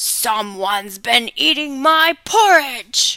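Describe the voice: A put-on, female-sounding character voice speaks at a high pitch and a very slow pace.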